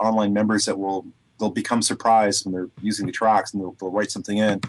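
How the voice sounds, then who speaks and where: A man with a fairly low voice and a Canadian accent, against a quiet background. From Canada. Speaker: sound frequency therapy producer. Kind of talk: radio interview. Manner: hesitant, many fillers.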